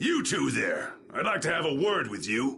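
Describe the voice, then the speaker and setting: At a moderate pace, a man does a raspy, put-on character voice against clear background noise. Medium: video game. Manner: commanding.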